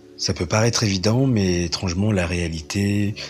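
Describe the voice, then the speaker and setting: Fairly even intonation marks a man's speech, with noticeable background noise behind him. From France, raised by French adoptive parents (born in Colombia). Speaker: interviewee, former cowherd. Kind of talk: personal testimony. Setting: remote recording.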